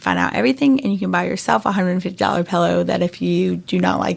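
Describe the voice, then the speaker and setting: Talking at a very fast pace, a woman speaks with a slight North Carolina accent. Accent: slight North Carolina Southern. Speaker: startup founder. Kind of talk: interview.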